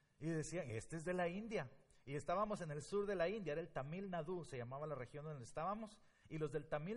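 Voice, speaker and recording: Fairly high-pitched male voice, fairly quick and lively in intonation, with audible room echo. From Guatemala. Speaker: pastor. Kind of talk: sermon. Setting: church.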